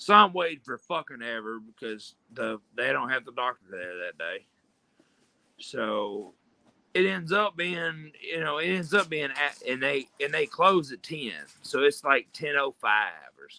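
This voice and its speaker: A man speaks at a fairly slow pace, his loudness swinging widely. The sound is dry and close, with no echo. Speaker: streamer. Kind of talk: casual chat. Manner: animated.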